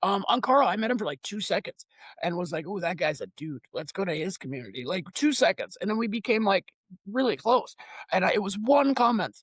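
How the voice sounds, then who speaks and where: A man speaks loudly in a high pitch with an animated tone and very wide pitch swings. The sound is dry and close, with no echo. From Lithuania. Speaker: online community founder. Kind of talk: podcast interview.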